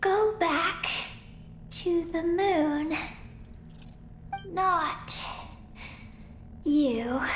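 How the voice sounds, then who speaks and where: A female-sounding cartoonish character voice pitched extremely high, with clear background noise behind it. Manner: halting broken phrases, panting.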